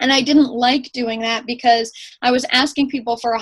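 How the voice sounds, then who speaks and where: This is a woman's voice. Her pitch is high. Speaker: fitness coach. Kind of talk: team call presentation. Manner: fast.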